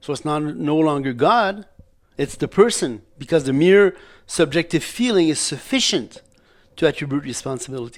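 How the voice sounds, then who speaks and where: This man speaks at a fairly high pitch. His intonation is lively. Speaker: graduate student presenting theology. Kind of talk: academic presentation. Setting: seminary lecture. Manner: halting, with false starts; fast.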